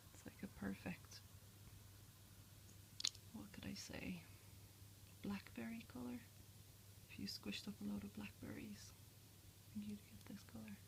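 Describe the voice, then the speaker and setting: A soft-spoken woman talks at a moderate pace with a very deep, low pitch and fairly even intonation. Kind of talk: ASMR makeup show and tell.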